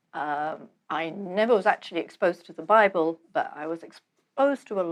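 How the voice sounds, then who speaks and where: In a London accent, a woman speaks at a moderate pace. Her intonation is lively. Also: big swings in loudness. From London, England. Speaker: author and seminary graduate. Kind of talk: interview.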